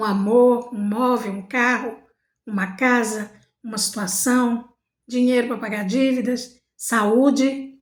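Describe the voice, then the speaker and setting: Speaking at a very slow pace, a woman uses a high pitch and fairly even intonation. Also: long, frequent pauses. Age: 60s. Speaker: spiritual motivational vlogger. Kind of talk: motivational monologue.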